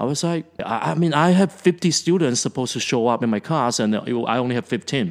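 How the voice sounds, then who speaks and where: Lively intonation rides on a very fast pace of speech. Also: man, medium pitch for a man. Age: 40s. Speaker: teacher and podcast co-host. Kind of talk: casual chat.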